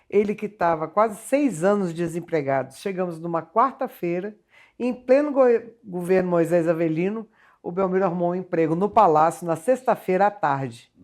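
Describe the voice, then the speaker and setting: On a very clean recording with a silent background, a woman talks at a moderate pace with lively intonation and a fairly low pitch. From Rio de Janeiro state, Resende. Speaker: singer. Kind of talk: TV interview. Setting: TV studio.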